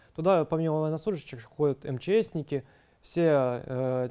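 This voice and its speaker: This man's voice sits fairly high, with a dark, mellow tone. His pitch varies in an ordinary way against a quiet background. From Ukraine. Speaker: army officer, military psychologist. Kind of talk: interview testimony. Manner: hesitant, with fillers. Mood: calm, serious. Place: office. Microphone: lapel.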